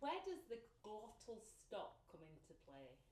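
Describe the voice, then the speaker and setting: A woman's dark, mellow voice at medium pitch, with vocal fry and very wide pitch swings. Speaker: interviewer.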